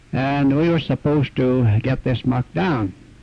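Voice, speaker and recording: At medium pitch with ordinary pitch variation, a man speaks in an ordinary speaking voice. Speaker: retired miner. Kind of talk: oral history interview.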